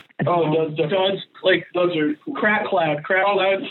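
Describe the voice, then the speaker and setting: Amid noticeable background noise, a speaker in an American accent keeps a moderate speed. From Connecticut. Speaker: band member. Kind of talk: casual chat. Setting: phone call. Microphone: phone line, poor audio quality.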